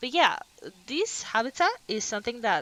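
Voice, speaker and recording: A woman speaks with a slight Finnish accent and lively intonation. Her tone is bright and sharp. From Finland. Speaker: video game streamer. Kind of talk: gameplay tour commentary. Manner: casual, chatty.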